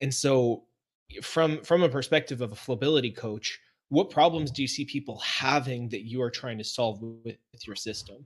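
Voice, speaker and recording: Ordinary pitch variation marks a man's plain, everyday voice as he talks at a moderate pace. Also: medium pitch for a man. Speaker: podcast host. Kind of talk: casual interview.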